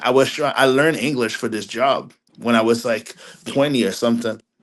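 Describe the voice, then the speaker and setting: Medium-pitched male voice at a fairly quick pace with a Haitian accent, ordinary pitch variation, quiet background. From Quebec, Montreal area, Haitian family. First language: French and Haitian Creole. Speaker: film critic. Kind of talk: podcast interview. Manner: halting, many repeated words; casual.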